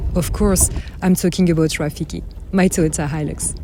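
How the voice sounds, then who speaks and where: A woman speaks with a French accent in a fairly low pitch, at a moderate pace. Her intonation is fairly even, and noticeable background noise can be heard. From France. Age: 30s. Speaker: overland traveller vlogger. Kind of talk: scripted narration.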